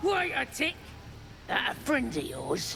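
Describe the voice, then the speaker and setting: Clear background noise behind a fairly slow, put-on character voice. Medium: video game. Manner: rude, bossy.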